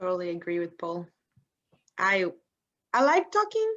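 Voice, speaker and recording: A woman speaks with a non-native accent. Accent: noticeable foreign. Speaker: management consultant. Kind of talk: webinar panel talk. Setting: online webinar.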